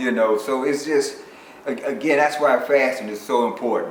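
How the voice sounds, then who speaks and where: Amid noticeable background noise, a speaker with an American accent talks at moderate speed. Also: man. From Chicago. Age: 60s. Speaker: bodybuilder. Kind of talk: interview answer.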